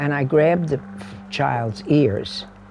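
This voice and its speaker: Against noticeable background noise, a man with a New York accent speaks with ordinary pitch variation. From New York City, Queens. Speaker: housing organizer. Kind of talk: interview storytelling.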